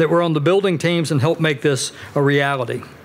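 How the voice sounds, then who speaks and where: Words tumble out of a man at a very fast pace. Noticeable background noise is present throughout. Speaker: university administrator. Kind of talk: ceremonial speech. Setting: podium before live audience.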